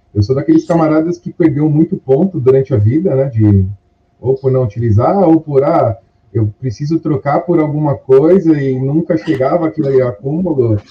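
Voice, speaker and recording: A man's fairly high, somewhat breathy voice moves at a moderate pace, its pitch varying in an ordinary way. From Brazil, São Paulo city. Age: 30s. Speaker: course student sharing experience. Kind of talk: interview.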